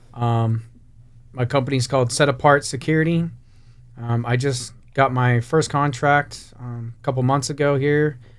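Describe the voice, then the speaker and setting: A plain, everyday voice with an American accent, fairly even intonation and a moderate pace. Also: man, medium pitch for a man. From western and northwestern US. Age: 30s. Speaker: security company owner. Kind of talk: casual podcast interview.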